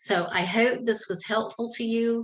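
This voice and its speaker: Speaking fairly slowly, a woman talks in a Southern US accent. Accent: Southern drawl. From US South, South Georgia. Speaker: women's ministry speaker and author. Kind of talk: tutorial. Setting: home office. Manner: casual, conversational.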